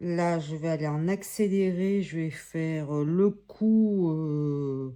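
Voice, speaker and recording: A woman speaks at a very slow pace, her dark, mellow tone carrying ordinary pitch variation. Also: fairly low pitch for a woman. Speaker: coloring tutorial youtuber. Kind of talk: tutorial. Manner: halting; soft-spoken.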